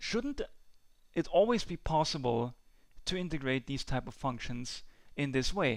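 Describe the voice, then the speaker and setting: A man with a non-native accent and a fairly high pitch uses lively intonation and long, frequent pauses in a very clean recording with a silent background. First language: not English. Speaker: math tutor. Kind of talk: tutorial. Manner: halting, with many fillers.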